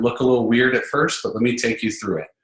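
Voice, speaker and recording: This man talks at a medium pitch. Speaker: sales trainer. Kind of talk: webinar lecture. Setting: online webinar. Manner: fast.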